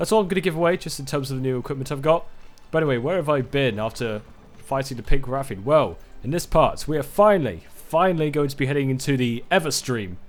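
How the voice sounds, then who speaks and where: With music in the background, a man talks at a very fast pace. His pitch is fairly high and his intonation lively. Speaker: gaming YouTuber. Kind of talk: let's play commentary. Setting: home recording, overhead microphone.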